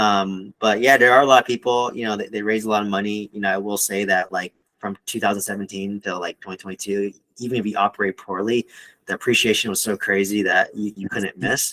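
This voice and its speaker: A very fast man with a bright, sharp tone and fairly even intonation. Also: fairly low pitch for a man. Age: 30s. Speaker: real estate investor and podcast host. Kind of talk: casual interview chat.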